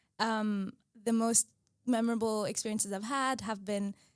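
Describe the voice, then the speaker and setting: Here a woman speaks with an Arabic accent. Her pitch is fairly high and her pace moderate. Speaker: medical student. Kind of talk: podcast conversation.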